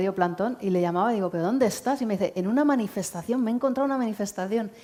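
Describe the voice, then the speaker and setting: A woman speaks with a Spanish accent and ordinary pitch variation. Her tone is dark and mellow. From Spain. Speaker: aid organisation director. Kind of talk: public talk, interview on stage. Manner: conversational, with frequent filler 'eh'.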